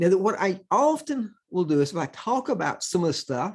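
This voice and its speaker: Against a quiet background, the speaker talks at a fairly quick pace with very wide pitch swings. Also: man. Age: 70s. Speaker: accounting professor. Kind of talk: conference presentation. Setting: recorded at home computer for virtual conference.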